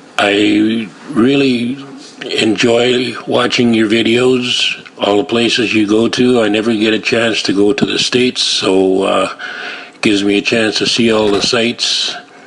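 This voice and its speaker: Over noticeable background noise, a man with a western Canadian accent and medium pitch speaks fairly slowly in a monotone, flat intonation, his loudness swinging widely. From western Canada (Surrey, British Columbia). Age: 60s. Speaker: viewer sending a video message. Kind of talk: personal video message and testimony. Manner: halting, many filler words.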